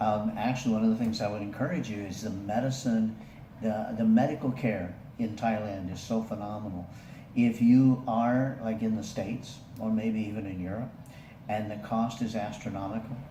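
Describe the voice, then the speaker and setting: Noticeable background noise sits under a moderately paced voice with fairly even intonation. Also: man, medium pitch for a man. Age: 60s. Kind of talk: casual talk to camera.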